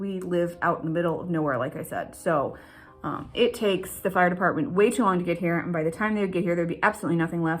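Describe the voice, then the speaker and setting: Speaking at a very fast pace, a woman uses a fairly low pitch with ordinary pitch variation. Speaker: homesteader vlogger. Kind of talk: casual vlog walkthrough. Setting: outdoors and inside a cabin.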